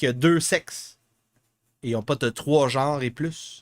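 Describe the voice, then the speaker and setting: Speaking with a Quebec accent, a man uses a fairly high pitch, a bright, sharp tone, ordinary pitch variation and a fairly slow pace in a very clean recording with a silent background. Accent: Québécois French. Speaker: political podcast host. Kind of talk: live podcast commentary on news. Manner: halting, many fillers.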